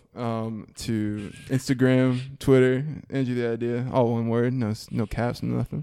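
On a very clean recording with a silent background, a man with a plain, everyday voice and an American accent speaks at a medium pitch and a moderate pace. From US South. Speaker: musician. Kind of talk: casual chat.

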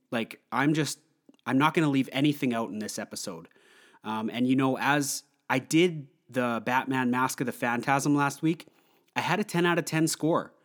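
A man with fairly high pitch and ordinary pitch variation is heard in a very clean recording with a silent background. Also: moderate pace. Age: 20s. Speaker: podcast host, movie reviewer. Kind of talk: solo casual movie review.

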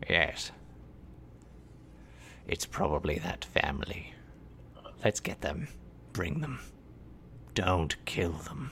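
In a put-on character voice, a man speaks very slowly with a guttural, very deep, low pitch and long, frequent pauses over light background noise. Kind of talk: refined. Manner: calm, commanding.

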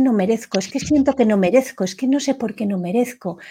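A woman's fairly high, somewhat breathy voice with a dark, mellow tone and ordinary pitch variation. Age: 50s. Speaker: coach leading a self-inquiry workshop. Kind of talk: live online workshop.

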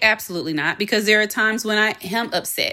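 Bright, sharp tone from a woman at a medium pitch. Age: 40s. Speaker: faith podcast host. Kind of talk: faith-based personal talk.

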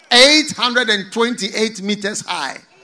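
With noticeable background noise behind him, a man uses a raised, projected voice at high pitch, his tone animated and warm, his pitch swinging very widely. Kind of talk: sermon. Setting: church. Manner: animated, rhythmic call-and-response preaching, warm and authoritative.

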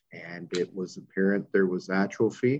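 The man's voice sits at a fairly low pitch. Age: 50s. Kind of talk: interview, personal testimony. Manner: halting, many fillers.

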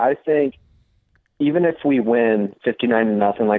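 With a plain, everyday voice, a man talks in a medium pitch, his pitch varying in an ordinary way. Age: 20s. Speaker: college student. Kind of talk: casual chat. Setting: phone call.

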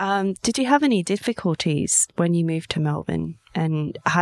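A woman with an Australian accent at a moderate pace, in a dry, close sound with no echo. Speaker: podcast host. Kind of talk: interview.

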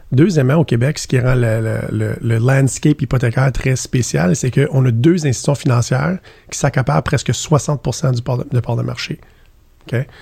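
Medium-pitched male voice with a Quebec accent, dark and mellow with vocal fry, fairly quick, with ordinary pitch variation. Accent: Canadian French. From Ottawa. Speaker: banking executive. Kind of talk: interview.

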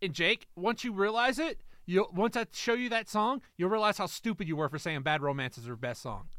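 A loud man's voice, high for a man, with a bright, sharp tone, very wide pitch swings and a fairly quick pace, on a very clean recording with a silent background. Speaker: podcast co-host. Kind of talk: casual chat. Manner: intense.

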